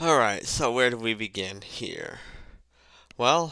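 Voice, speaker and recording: A man's bright, sharp tone comes through in a very clean recording with a silent background. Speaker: gaming commentator. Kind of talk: video essay commentary. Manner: odd emphasis on words.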